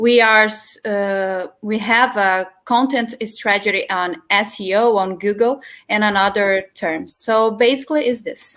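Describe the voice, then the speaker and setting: A woman with a Brazilian Portuguese accent speaks at a fairly slow pace in a fairly high voice with ordinary pitch variation. The recording is very clean, with a silent background. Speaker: journalist, distribution lead. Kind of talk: panel discussion. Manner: halting.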